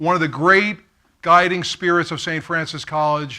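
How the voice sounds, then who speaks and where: With a New York accent, a man speaks at a high pitch in a bright, sharp tone with fairly even intonation, in a very clean recording with a silent background. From Brooklyn, New York. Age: 50s. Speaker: keynote speaker. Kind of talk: keynote speech. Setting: stage with audience.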